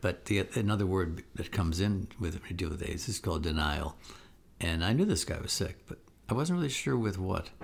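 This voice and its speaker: Very deep and low in pitch, a man's somewhat breathy voice moves at a fairly quick pace with ordinary pitch variation. The recording is very clean, with a silent background. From Israel. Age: 70s. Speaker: podcast co-host, filmmaker. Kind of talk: casual chat.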